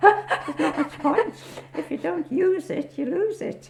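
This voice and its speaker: A woman speaking at a fairly slow pace over noticeable background noise. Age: 80s+. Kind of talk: interview answer.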